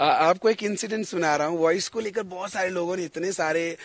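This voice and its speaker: The recording is very clean with a silent background as a man speaks at a moderate pace with ordinary pitch variation. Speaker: singer and stage anchor. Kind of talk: interview.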